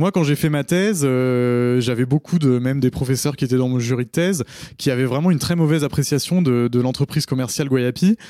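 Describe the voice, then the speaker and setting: The recording is very clean, with a silent background. A man with a dark, mellow tone speaks at a fairly quick pace and with ordinary pitch variation. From France, Paris. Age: 30s. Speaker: fair trade entrepreneur, geographer. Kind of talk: interview.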